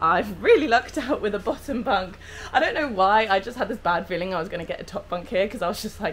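A woman at a very fast pace with lively intonation and light background noise. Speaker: travel vlogger. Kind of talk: casual vlog chat. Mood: cheerful, chatty. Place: home room. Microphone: phone near.

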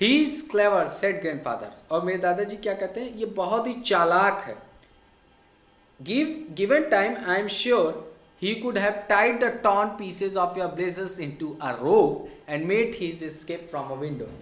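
The man's pitch is high. He speaks with lively intonation. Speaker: English teacher. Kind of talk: classroom lesson explanation.

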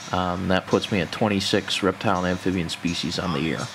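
Talking at a fairly quick pace, a man with a very deep, low pitch is heard against noticeable background noise. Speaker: university herping club member, amateur herper. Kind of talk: casual nature narration to camera.

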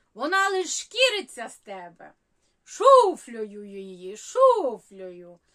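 A woman's high, bright, sharp voice at a very slow pace, with very wide pitch swings. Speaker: humorist. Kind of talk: humorous story reading.

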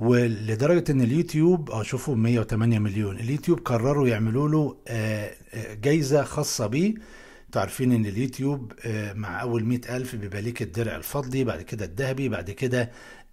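Over a quiet background, a man talks at a moderate pace in a somewhat breathy voice with a dark, mellow tone. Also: ordinary pitch variation. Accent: Alexandrian. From Egypt, Alexandria; Egypt. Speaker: YouTube educator. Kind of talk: tutorial. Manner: animated. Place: home room.

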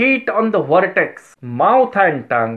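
Set against a quiet background, a man speaks at a very slow pace. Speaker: homeopathy teacher. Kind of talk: lecture. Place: office. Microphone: phone near.

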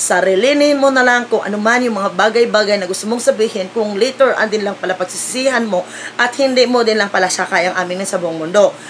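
At a fairly quick pace with hardly any pauses, a woman speaks at a fairly high pitch with ordinary pitch variation over light background noise. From Philippines. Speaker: vlogger. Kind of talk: casual vlog chat, opinion rant. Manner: scolding, emphatic. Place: home room. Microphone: phone near.

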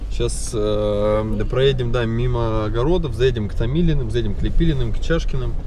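A man speaking at a fairly quick pace, dry sound with no echo, noticeable background noise. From Magadan region, Russia. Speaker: travel vlogger. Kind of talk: casual vlog narration. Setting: outdoors, travelling by car. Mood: nostalgic, relaxed.

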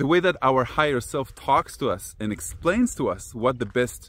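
A man speaks at a moderate pace in a dry sound with no echo. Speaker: personal growth teacher. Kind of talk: casual vlog talk, teaching. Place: open country. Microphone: phone near.

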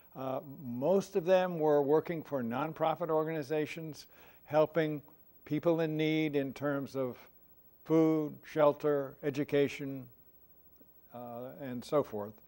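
A man with a dark, mellow tone speaks at a fairly slow pace, with fairly even intonation and long, frequent pauses. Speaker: panelist. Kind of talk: panel discussion answer. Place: hall. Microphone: lapel.

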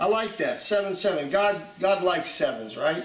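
Talking at a fairly slow pace with an American accent, a man with a high-pitched voice is heard over audible room echo. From USA. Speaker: preacher. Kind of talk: video message, prophetic testimony. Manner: halting, many fillers. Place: home room.

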